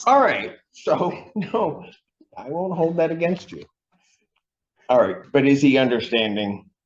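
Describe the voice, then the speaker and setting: A man talks at a fairly high pitch with very wide pitch swings and long, frequent pauses. Room echo is audible. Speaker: judge. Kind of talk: court hearing. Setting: courtroom. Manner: fast; formal.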